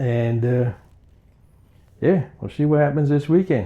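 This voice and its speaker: Somewhat breathy with a dark, mellow tone, a man talks with ordinary pitch variation. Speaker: antiques reseller, small business owner. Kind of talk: casual vlog talk to camera. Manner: halting, not smooth.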